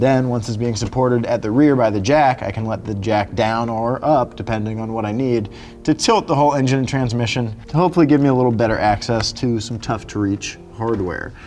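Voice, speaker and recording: Faint music sits behind a man who speaks at a fairly quick pace with hardly any pauses and ordinary pitch variation. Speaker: car show host mechanic. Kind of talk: tutorial. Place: garage.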